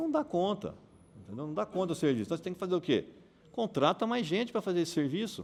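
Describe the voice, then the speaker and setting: This man has a high-pitched voice. Very wide swings mark his pitch. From Brazil, Bauru (São Paulo state). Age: 60s. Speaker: mayoral candidate. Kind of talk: campaign speech to audience. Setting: breakfast meeting with audience. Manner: conversational, engaging audience.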